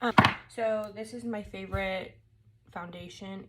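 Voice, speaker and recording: Mumbling, a woman talks with fairly even intonation. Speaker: mom lifestyle blogger. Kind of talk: casual makeup tutorial talk to camera. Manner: mumbling, as if talking to herself.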